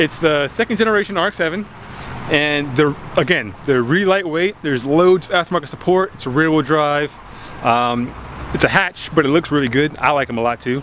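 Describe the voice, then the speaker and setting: Lively intonation from a man with a fairly high voice, noticeable background noise behind him. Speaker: car enthusiast vlogger. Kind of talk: casual video talk. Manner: fast; animated.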